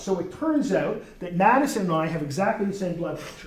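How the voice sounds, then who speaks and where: A man with a high voice talks at a fairly quick pace with lively intonation, over noticeable background noise and audible room echo. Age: 60s. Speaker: university professor. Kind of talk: lecture. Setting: classroom with students. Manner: casual, conversational.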